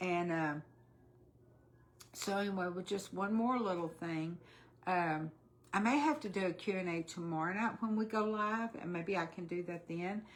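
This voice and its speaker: Long, frequent pauses break up the speech of a woman with a Texan accent, who uses a medium pitch and ordinary pitch variation at a moderate pace. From Texas. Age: 60s. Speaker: weight-loss vlogger. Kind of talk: casual livestream chat. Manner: chatty, halting with fillers.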